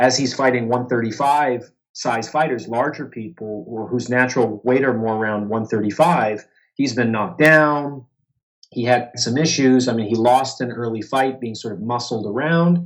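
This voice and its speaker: Here a man speaks in a medium pitch at a moderate pace, with ordinary pitch variation and an unremarkable speaking voice. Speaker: boxing writer and journalist. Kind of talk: interview answer.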